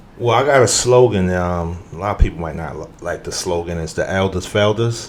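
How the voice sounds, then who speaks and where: Speaking at a fairly quick pace, a man with a very deep, low pitch uses ordinary pitch variation and big swings in loudness over noticeable background noise. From New York, Harlem. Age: 50s. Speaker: youth program developer and entrepreneur. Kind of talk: podcast interview conversation.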